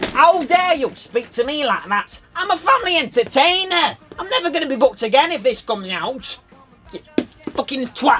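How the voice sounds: A put-on character voice speaks at a moderate pace. Music plays in the background.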